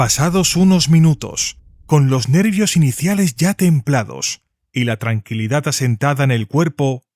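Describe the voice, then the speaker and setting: Lively in intonation, a man speaks somewhat breathily at a medium pitch and a fairly slow pace. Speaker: voice actor. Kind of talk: audiobook narration.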